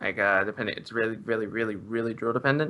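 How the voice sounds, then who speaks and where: This voice has an Australian accent and a bright, sharp tone. Its pitch varies in an ordinary way. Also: man, very clean recording, silent background. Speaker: esports commentator. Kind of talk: live commentary. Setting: live stream.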